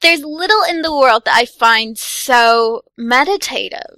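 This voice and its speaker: In a raised, projected voice, a woman speaks at a very slow pace with a high pitch and bright, sharp tone. Her pitch swings very widely, and the sound is dry and close with no echo. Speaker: games journalist. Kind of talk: casual chat.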